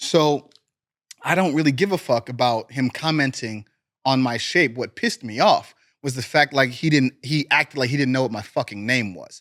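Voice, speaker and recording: In an American accent, a man with an ordinary speaking voice talks at a moderate pace and medium pitch, with ordinary pitch variation and a dry, close sound with no echo. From US Midwest, Cleveland, Ohio. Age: 30s. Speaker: professional wrestler. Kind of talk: casual interview chat.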